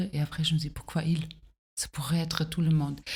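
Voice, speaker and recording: A woman speaks in a German accent, her tone dark, mellow and somewhat breathy. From Germany. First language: German (speaking French). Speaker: singer-songwriter and teacher. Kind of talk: interview conversation. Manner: hesitant, many fillers.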